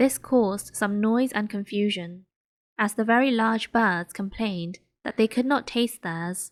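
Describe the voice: Against a quiet background comes plain reading aloud, its pitch varying in an ordinary way.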